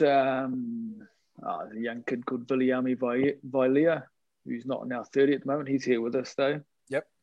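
A man with a New Zealand accent speaks at medium pitch and a fairly slow pace, with ordinary pitch variation. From New Zealand, Hibiscus Coast north of Auckland. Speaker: rugby league team manager. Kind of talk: interview. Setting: video call.

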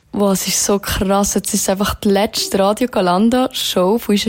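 The speaker has a Swiss accent. The intonation stays fairly even. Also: woman. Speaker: student radio host. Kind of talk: live radio show. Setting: studio.

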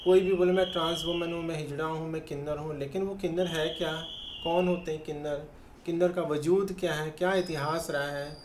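Over noticeable background noise and audible room echo, a woman speaks in a fairly low, monotone, flat voice at a moderate pace. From Chandigarh, India. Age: 50s. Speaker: transgender rights activist. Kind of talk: interview, personal testimony.

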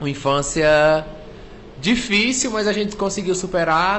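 A man's high voice, fairly slow pace and lively intonation, with audible room echo and noticeable background noise. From Cariri, Ceará, Brazil (rural Juazeiro do Norte). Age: 30s. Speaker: comedian. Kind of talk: casual chat.

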